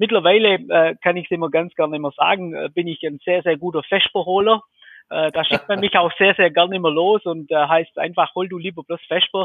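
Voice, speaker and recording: A man's high-pitched voice moves at a moderate pace with fairly even intonation. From Swabia, southern Germany. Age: 40s. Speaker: electrical contractor, business owner. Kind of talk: interview. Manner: hesitant, many fillers.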